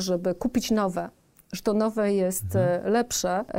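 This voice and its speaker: On a very clean recording with a silent background, a woman speaks in a dark, mellow tone with fairly even intonation. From south-eastern Poland. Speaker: business executive and board member. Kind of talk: podcast interview.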